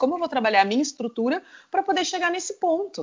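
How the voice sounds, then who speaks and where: A woman speaking at a fairly quick pace with very wide pitch swings. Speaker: sports marketing executive and entrepreneur. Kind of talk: interview.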